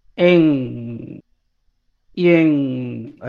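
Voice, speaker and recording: This is a man speaking. His intonation is lively. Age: 30s. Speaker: streamer. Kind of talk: casual chat.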